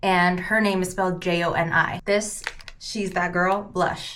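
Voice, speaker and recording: A woman at medium pitch and a moderate pace, with audible room echo. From US West Coast, San Francisco Bay Area. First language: Cantonese. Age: 30s. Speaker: beauty vlogger. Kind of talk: casual get-ready-with-me vlog. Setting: at home.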